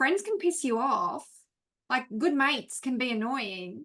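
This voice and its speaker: In an Australian accent, a woman speaks at a fairly slow pace with a bright, sharp tone. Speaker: class participant. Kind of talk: class discussion.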